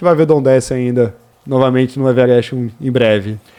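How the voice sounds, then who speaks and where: At a fairly quick pace, the man talks in an unremarkable speaking voice. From Brazil, interior of Rio de Janeiro state. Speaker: mountaineer. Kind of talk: radio interview.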